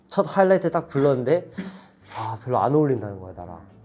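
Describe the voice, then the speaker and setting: A man's medium-pitched, somewhat breathy voice at a very fast pace, with very wide pitch swings. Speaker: K-pop idol singer. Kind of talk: casual chat.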